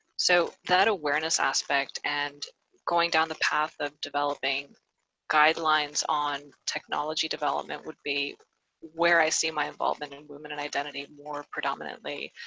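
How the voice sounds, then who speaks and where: A woman with an American accent talks at a moderate pace in a very deep, low pitch. Her tone is bright and sharp, her intonation monotone and flat. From US, Miami, Florida; Ecuadorian family. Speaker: payments risk professional, panelist. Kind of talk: webinar panel introduction. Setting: video call.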